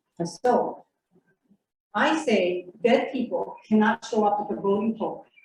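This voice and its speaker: Somewhat breathy woman's voice, fairly high in pitch, at a very slow pace. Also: ordinary pitch variation. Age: 70s. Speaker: audience member at a community forum. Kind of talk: public Q&A comment. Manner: emphatic.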